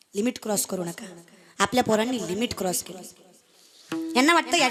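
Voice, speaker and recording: A woman's fairly high-pitched voice over background music. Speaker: kirtan performer. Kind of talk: comic devotional kirtan sermon.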